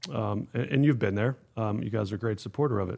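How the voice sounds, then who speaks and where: With an American accent, a man talks fairly quickly in a normal speaking voice, his intonation lively. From Pittsburgh area, Pennsylvania. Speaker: youth golf organization executive. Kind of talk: casual interview.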